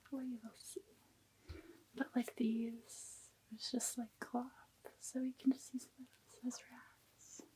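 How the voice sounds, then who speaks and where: A soft-spoken woman's high-pitched voice, dark and mellow in tone, very slow, with fairly even intonation and big swings in loudness. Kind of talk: ASMR soft-spoken talk.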